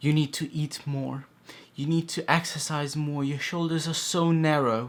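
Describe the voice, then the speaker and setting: A man speaks quietly at a moderate pace. His pitch is fairly high. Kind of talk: casual talk to camera.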